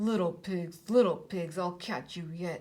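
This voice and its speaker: Using a put-on character voice, a woman speaks at a fairly slow pace with a fairly low pitch. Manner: muttering, sullen.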